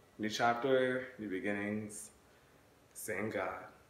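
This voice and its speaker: The voice moves at a very slow pace, with light background noise and audible room echo. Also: man. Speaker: YouTuber / vlogger; YouTuber, vlogger. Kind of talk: casual vlog. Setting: in his bedroom at parents' house. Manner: animated.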